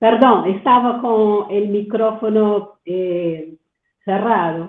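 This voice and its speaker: Speaking at a very slow pace, a woman in a Portuguese accent uses a medium pitch with ordinary pitch variation. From Brazil. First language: Portuguese (speaking Spanish). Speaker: doctoral student, audience participant. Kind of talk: Q&A comment in webinar. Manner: halting, many fillers and repetitions.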